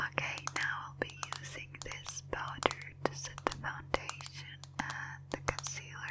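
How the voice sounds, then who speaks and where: A whisper at a fairly slow pace. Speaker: ASMR artist. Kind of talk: ASMR makeup role play. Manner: whispered; soft-spoken.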